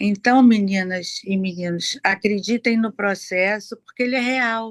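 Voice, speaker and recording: Delivered at a fairly slow pace, the voice has a dry, close sound with no echo. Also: woman. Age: 60s. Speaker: program participant. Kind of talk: testimony. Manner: halting.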